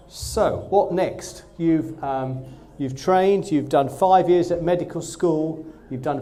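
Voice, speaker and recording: With a slight Essex accent, a man talks at a moderate pace amid noticeable background noise and audible room echo. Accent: slight Essex twang. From Essex, Southend-on-Sea. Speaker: GP and training program director. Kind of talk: presentation to trainee doctors. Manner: enthusiastic.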